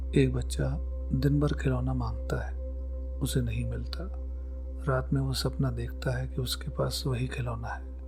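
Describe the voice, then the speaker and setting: A man speaks in a calm tone with a very deep, low pitch. Music plays in the background, and there is audible room echo. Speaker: psychology educator. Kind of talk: scripted narration.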